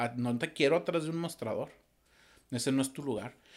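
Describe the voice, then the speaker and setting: A man talks at a medium pitch in an ordinary speaking voice, his pitch varying in an ordinary way. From Torreón, Coahuila, northern Mexico. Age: 40s. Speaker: musician and audiovisual producer. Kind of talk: casual interview.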